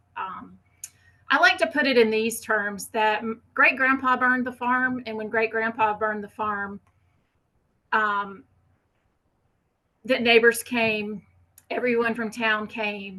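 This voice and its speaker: At a fairly slow pace with long, frequent pauses, a woman with a Southern US accent speaks in a bright, sharp tone and fairly even intonation. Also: fairly high pitch for a woman. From US South. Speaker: fire ecology researcher. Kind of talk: conference presentation.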